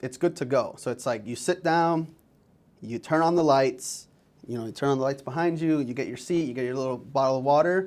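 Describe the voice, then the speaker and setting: A man talks at a fairly quick pace, his fairly high pitch showing ordinary variation. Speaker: marketing agency webinar co-host. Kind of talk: webinar discussion. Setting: office studio. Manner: fast.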